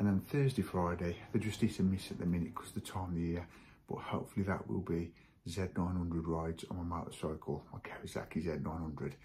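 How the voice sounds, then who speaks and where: The voice is somewhat breathy, with fairly even intonation. Light background noise can be heard. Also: man. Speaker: hobby model-building vlogger. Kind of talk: casual vlog chat. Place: garage. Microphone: phone near.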